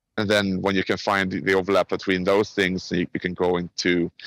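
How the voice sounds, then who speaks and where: A man with a Swedish accent speaks at a moderate pace in a very deep, low voice, his intonation flat and monotone, the sound dry and close with no echo. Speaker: game industry professional. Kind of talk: podcast interview. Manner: casual.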